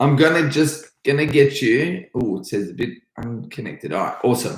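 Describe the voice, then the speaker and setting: An energetic man with an Australian accent, vocal fry and a moderate pace. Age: 30s. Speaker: karate instructor. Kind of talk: live stream Q&A. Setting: live stream at home.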